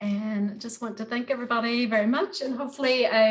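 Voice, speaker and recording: A woman speaks with an American accent. Her pitch is fairly high and her pace fairly quick. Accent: American, after 25+ years in Northern Ireland. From United States. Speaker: gardening workshop tutor. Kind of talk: online workshop tutorial. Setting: video call. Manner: hesitant, many fillers.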